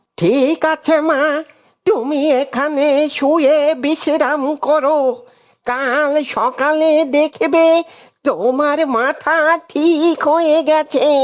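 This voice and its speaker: In a cartoonish character voice, a woman speaks at a high pitch and a very slow pace, with fairly even intonation. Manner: calm, fatherly.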